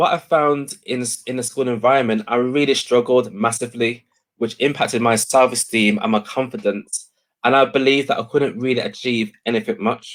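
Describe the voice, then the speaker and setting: A man speaks with an English accent. His intonation stays fairly even. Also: medium pitch for a man, moderate pace. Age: 30s. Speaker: education speaker. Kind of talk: interview.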